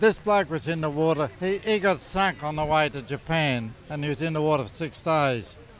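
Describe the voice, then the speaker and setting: Speaking at a fairly quick pace, a man with an Australian accent uses a fairly high pitch and ordinary pitch variation. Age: old. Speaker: war veteran. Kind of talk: live interview.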